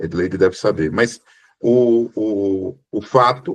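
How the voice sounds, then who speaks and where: Someone with a northeastern Brazilian accent speaks with ordinary pitch variation over a quiet background. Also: man. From Brazil, Sergipe (Northeast). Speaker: book club member, moderator. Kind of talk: book club discussion.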